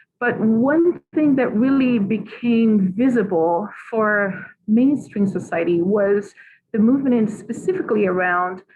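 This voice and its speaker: Speaking fairly slowly in a Portuguese accent, a woman uses a fairly high pitch and lively intonation, her loudness very even. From Brazil. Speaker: psychology professor. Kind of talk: academic presentation.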